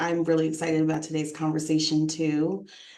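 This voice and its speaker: A woman with an American accent, fairly low pitch and a moderate pace, with audible room echo. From US East Coast, New York. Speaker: nonprofit executive director. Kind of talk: interview. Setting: livestream video interview.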